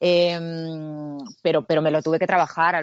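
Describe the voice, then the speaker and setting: Speech moves at a very slow pace with fairly even intonation. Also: woman. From Canary Islands (Tenerife). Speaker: actress. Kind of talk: interview.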